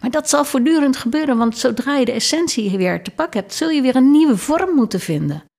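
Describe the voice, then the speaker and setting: A woman talks at a fairly quick pace with hardly any pauses. Her high voice has lively intonation. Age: 60s. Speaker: leadership consultant and lecturer. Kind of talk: interview conversation.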